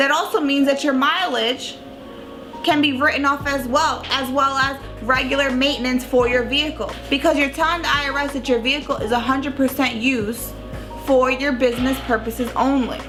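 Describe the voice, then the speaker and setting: With music in the background, a woman with an American accent talks at a fairly quick pace in a high pitch with fairly even intonation. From Long Island, New York. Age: 20s. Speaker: tax professional. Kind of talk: casual educational talk to camera.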